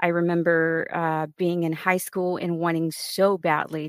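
On a very clean recording with a silent background, a woman with a fairly low pitch speaks at a fairly slow pace, the sound dry and close with no echo. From US, Mexican-American family, now Dallas. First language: Spanish. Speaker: veteran, security awareness professional. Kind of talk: casual interview.

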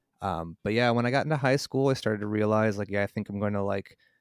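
A man with an American accent speaks at fairly low pitch with fairly even intonation. The recording is very clean, dry and close, with no echo and a silent background. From Chicago area, Illinois (Mundelein). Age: 30s. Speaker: graphic designer and touring musician. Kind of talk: casual interview.

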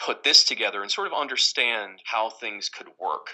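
A man with an American accent. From Westchester, New York. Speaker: app creator. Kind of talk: casual interview. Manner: halting, repeats words.

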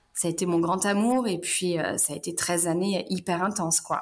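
A woman's medium-pitched voice at a very slow pace. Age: 30s. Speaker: mother of two, management assistant. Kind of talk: interview, personal testimony.

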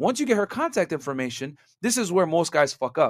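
A man speaks in a normal speaking voice at a fairly quick pace with lively intonation. The sound is dry and close with no echo, on a very clean recording with a silent background. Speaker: dating podcast host. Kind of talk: casual chat.

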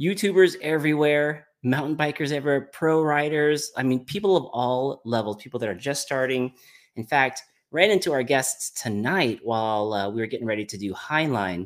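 Upbeat and energetic, a man with a fairly high pitch and lively intonation talks at a moderate pace in a very clean recording with a silent background. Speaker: podcast host. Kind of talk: casual interview chat. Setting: live stream with chat. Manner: upbeat, energetic.

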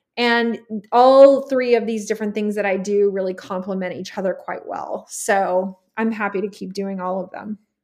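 Big swings in loudness from a woman at medium pitch, an unremarkable speaking voice, with fairly even intonation and a moderate pace. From Texas. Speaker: HR executive and networking community founder. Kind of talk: interview conversation.

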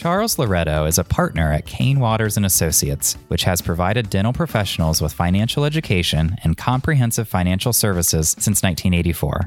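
Music plays behind a man whose pitch is very deep and low. He speaks with hardly any pauses and very even loudness. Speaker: podcast host. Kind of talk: scripted podcast intro.

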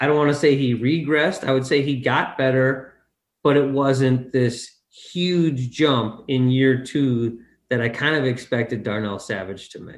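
A man with an ordinary speaking voice talks at a fairly slow pace, his medium pitch showing ordinary variation. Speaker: podcast co-host. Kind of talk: casual chat.

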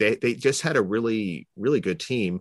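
With a Canadian accent and a plain, everyday voice, the speaker moves at a moderate pace with lively intonation over a quiet background. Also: man. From Toronto, Canada. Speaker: sports writer. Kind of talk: casual interview chat.

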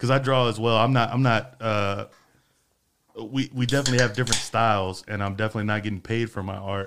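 With a Texan accent, a man talks at a very fast pace with fairly even intonation. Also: medium pitch for a man. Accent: Texan American. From Freeport, Texas. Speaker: podcast host. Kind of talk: casual chat. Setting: studio.

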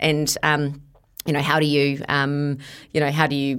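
A woman with a very deep, low pitch and a New Zealand accent. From New Zealand (Bombay Hills, south of Auckland). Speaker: sports event director. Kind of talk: interview. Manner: animated.

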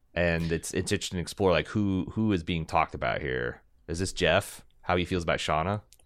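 A man's very deep, low voice with an American accent at a fairly quick pace. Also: ordinary pitch variation, very clean recording, silent background. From Indiana, US Midwest. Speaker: podcast co-host. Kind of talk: casual chat.

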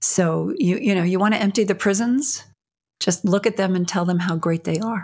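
A woman speaks at medium pitch and a moderate pace, somewhat breathy, with ordinary pitch variation. The recording is very clean, with a silent background. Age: 60s. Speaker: prison reform advocate and filmmaker. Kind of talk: interview.

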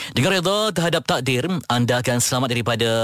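Against noticeable background noise, a man with a medium pitch talks at a fairly quick pace with lively intonation. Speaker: radio host. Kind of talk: radio talk show; reflective monologue.

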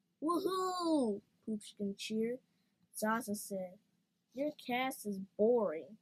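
An unforced reading voice with lively intonation against a quiet background.

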